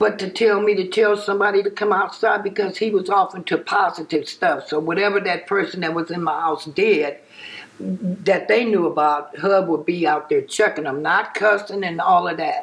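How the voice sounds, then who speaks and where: A woman's medium-pitched voice at a moderate pace, with fairly even intonation, over noticeable background noise. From Compton, Los Angeles, California. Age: 60s. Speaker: interviewee recalling neighborhood gang history. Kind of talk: interview.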